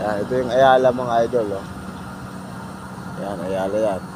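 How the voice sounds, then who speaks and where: Background noise is noticeable behind a man's voice. His pitch sits at a medium level and varies in an ordinary way. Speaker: vlogger. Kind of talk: casual vlog.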